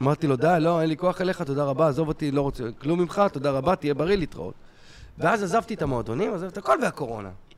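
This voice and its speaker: A man races along at a very fast pace. His pitch sits fairly high, with lively intonation. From Israel. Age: 40s. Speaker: stand-up comedian. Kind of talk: casual chat.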